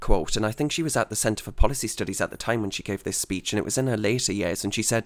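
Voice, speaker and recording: On a very clean recording with a silent background, a man speaks at a medium pitch in a northeast England accent. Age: 20s. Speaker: podcast host. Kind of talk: interview.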